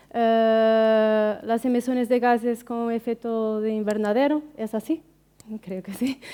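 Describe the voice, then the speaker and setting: A woman with a non-native accent talks in a dark, mellow tone. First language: Portuguese (speaking Spanish). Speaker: researcher. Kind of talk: conference talk. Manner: halting, many fillers.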